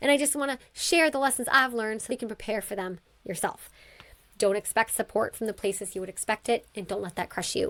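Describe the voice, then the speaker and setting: On a very clean recording with a silent background, a woman with a fairly high pitch talks at a very fast pace in an animated tone with ordinary pitch variation. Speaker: podcast host and education coach. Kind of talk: podcast monologue. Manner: animated, emotional.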